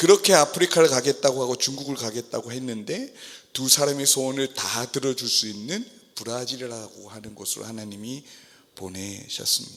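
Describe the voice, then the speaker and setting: A man keeps a moderate pace while noticeable background noise is audible. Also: medium pitch for a man, ordinary pitch variation, big swings in loudness. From South Korea. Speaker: missionary pastor. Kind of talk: sermon. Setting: church service.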